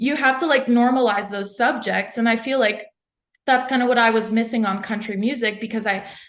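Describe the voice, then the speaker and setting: Fairly quick delivery and fairly even intonation amid audible room echo. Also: woman, fairly high pitch for a woman. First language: French. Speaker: country singer-songwriter. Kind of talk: interview. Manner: casual, many fillers.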